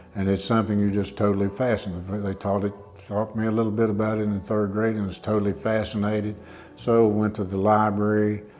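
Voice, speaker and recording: Music plays in the background as a man speaks. His fairly low voice is monotone and flat. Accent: Appalachian. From southwest Virginia. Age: 70s. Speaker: retired teacher and wood carver. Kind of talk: interview monologue. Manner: halting, many fillers.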